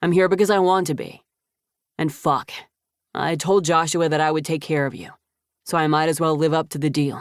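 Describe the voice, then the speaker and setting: Someone uses a put-on character voice that is gruff at a middle pitch, speaking at a fairly quick pace. Long, frequent pauses break it up, and the recording is very clean with a silent background. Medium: read story. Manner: curt, gruff.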